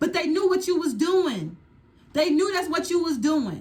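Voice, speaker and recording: A woman shouting, loud and animated, with ordinary pitch variation. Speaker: tarot reader. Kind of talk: tarot reading. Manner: loud, yelling.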